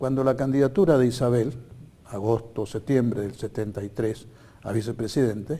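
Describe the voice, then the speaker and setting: At a moderate pace, a man speaks in a dark, mellow, somewhat breathy voice of medium pitch with ordinary pitch variation. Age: 80s+. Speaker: political candidate. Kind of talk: TV interview. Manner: halting.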